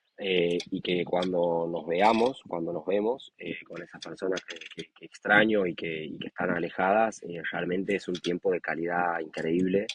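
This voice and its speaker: Loudness swings widely as the speaker goes at a fairly slow pace. Intonation stays fairly even, in a dry, close sound with no echo. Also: man, very deep, low pitch for a man. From Argentina, Santiago del Estero. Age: 20s. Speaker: professional rugby player. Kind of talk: interview. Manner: hesitant, many fillers.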